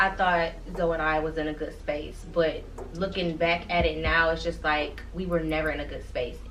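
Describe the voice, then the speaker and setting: A woman speaks at a moderate rate, her words carrying audible room echo and noticeable background noise. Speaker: vlogger. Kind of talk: casual chat.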